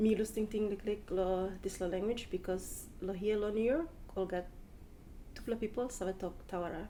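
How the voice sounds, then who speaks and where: With a Papua New Guinean accent, a woman speaks at a medium pitch in a dark, mellow tone with ordinary pitch variation. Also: moderate pace. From Papua New Guinea, Port Moresby. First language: Tawala. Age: 30s. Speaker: language speaker interviewee. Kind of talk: personal account in Tok Pisin. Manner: halting, many fillers.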